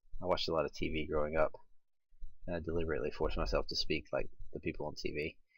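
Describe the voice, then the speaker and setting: Speaking at a very fast pace with an American accent, a man leaves long, frequent pauses. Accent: slightly southern-tinged Midwestern American. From United States. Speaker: artist. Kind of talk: narrated art commentary.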